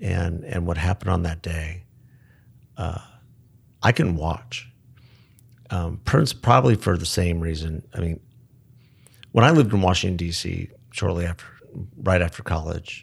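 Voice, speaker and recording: On a very clean recording with a silent background, a somewhat breathy man with a very deep, low pitch speaks at a moderate pace with ordinary pitch variation and long, frequent pauses. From Tucson, Arizona, US. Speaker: podcast co-host, former beer distributor. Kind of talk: casual chat. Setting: studio, in person.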